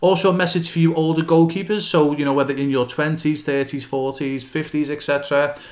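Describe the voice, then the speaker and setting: In a plain, everyday voice, a man talks at a moderate pace with hardly any pauses. His pitch is fairly high and his intonation fairly even. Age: 50s. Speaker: goalkeeping coach and academy founder. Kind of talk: solo podcast monologue. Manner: casual with frequent fillers.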